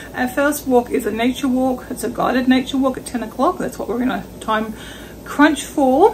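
Light background noise sits under a woman speaking at a high pitch. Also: ordinary pitch variation, moderate pace. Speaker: travel vlogger. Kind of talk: casual vlog chat. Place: kitchen. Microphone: phone near.

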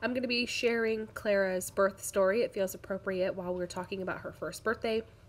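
There is light background noise. A woman speaks fairly quickly with fairly even intonation. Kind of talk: casual crafting vlog chat. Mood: warm, relaxed. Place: home room.

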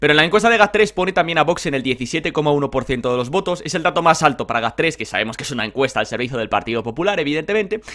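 Speech races along at a very fast pace with hardly any pauses. The tone is bright and sharp, the intonation lively, and the background quiet. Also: man, fairly high pitch for a man. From Spain. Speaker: political youtuber. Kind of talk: political commentary vlog. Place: home room. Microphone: webcam.

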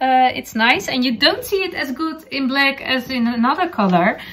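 A woman with a Dutch accent, high-pitched and fairly bright, with lively intonation at a moderate pace.

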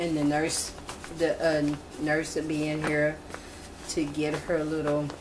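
Against noticeable background noise, a woman with a very deep, low voice talks very slowly in a flat monotone. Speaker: doll role-play narrator. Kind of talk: casual pretend-play narration. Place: home room. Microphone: phone near.

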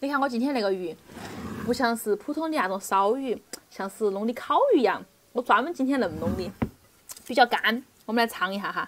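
Speaking fairly quickly with a Sichuan accent, a woman has a fairly high pitch, lively intonation and a relaxed tone. She takes long, frequent pauses, with light background noise behind her. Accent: Sichuan Mandarin, Chengdu-like. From Nanchong, Sichuan, China. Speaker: home cooking vlogger. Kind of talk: casual cooking tutorial. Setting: home kitchen. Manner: relaxed, chatty. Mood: cheerful, chatty.

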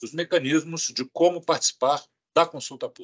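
A man talks with a high pitch. Nothing much is heard behind him, as the background is quiet. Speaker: health agency director. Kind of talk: press conference. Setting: video call. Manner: formal. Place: office. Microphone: video call.

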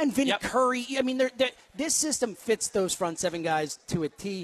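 A man speaks with an American accent at a very fast pace. His pitch variation is ordinary. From New York. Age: 30s. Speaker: sports podcaster. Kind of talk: sports talk radio. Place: studio.

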